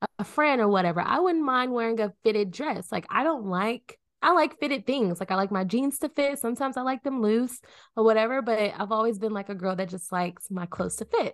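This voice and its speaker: A woman's fairly high voice, lively in intonation, at a fairly quick pace against a quiet background. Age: 20s. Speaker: podcast co-host. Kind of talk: casual chat.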